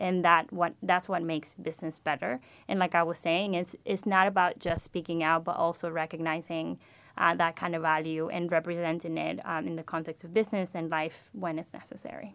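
A woman speaks in a Spanish accent with fairly even intonation. The background is silent and the recording very clean. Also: fairly low pitch for a woman, fairly quick pace. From Venezuela. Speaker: MBA student. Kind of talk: interview. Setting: studio.

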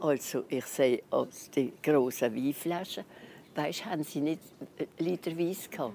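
At a moderate pace, a woman talks in a very deep, low pitch with ordinary pitch variation. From Alsace, near Basel. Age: 90s. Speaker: eyewitness of wartime evacuation. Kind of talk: personal recollection interview. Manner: halting.

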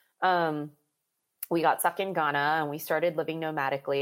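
A woman's very deep, low voice with an American accent, monotone and flat, at a fairly quick pace, in a very clean recording with a silent background. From US, Maryland. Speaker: life and mental fitness coach. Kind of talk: casual interview chat.

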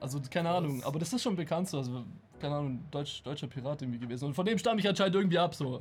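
A man rushes along at a very fast pace, somewhat breathy. His intonation is lively. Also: fairly high pitch for a man. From Germany. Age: 20s. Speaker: occasional streamer and game designer. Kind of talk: casual chat.

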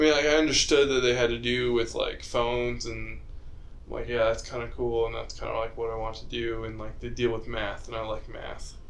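A man talks at a fairly quick pace, and room echo can be heard. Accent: American. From Utah. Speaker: podcast host, engineering student. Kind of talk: casual chat.

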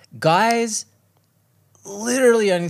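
A man with an Australian accent.

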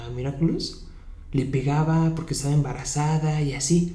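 A man speaks with a fairly high pitch, and the room echo is audible. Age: 20s. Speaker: podcast host. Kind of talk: casual interview.

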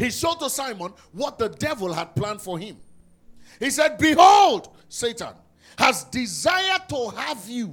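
Pitched extremely high for a man, this male voice moves at a fairly slow pace in an animated tone with very wide pitch swings. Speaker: preacher. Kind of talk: sermon. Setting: church; stage with audience. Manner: emphatic, exhorting, with commands to the congregation.

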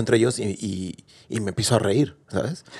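A man with a plain, everyday voice at a moderate pace. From Mexico. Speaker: podcast host. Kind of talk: casual interview.

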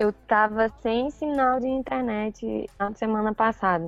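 Her pitch fairly high for a woman, she speaks at a very slow pace. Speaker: YouTuber and blogger. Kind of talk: casual chat.

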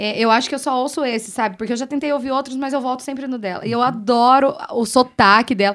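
The delivery is very fast, with hardly any pauses and fairly even intonation. The recording is very clean, with a silent background. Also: woman, high pitch for a woman. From Brazil, western Paraná. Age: 30s. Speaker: radio host. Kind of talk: casual chat. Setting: bar table.

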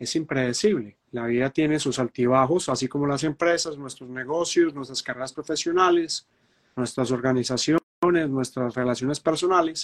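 With a Colombian Paisa accent, a man talks at a fairly high pitch with ordinary pitch variation, in a dry, close sound with no echo. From Medellín, Colombia. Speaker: astrologer and show host. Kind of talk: live online talk show.

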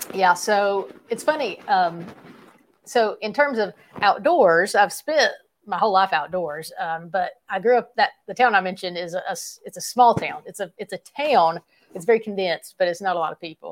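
With a Southern US accent, a woman speaks at a medium pitch with ordinary variation. Her loudness swings widely. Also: moderate pace. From East Tennessee. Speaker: YouTube gear reviewer and hunter. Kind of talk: casual interview.

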